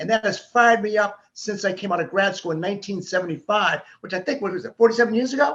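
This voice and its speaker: A man with an American accent, high-pitched and talking at a very fast pace. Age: 70s. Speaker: civil rights activist. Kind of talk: interview on a video conference. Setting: virtual conference.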